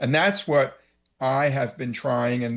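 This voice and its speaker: Against a quiet background, a man with an American accent and an unremarkable speaking voice talks at a fairly slow pace, medium in pitch with ordinary pitch variation. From New York, downstate (New Rochelle area). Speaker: cable and media executive. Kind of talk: interview.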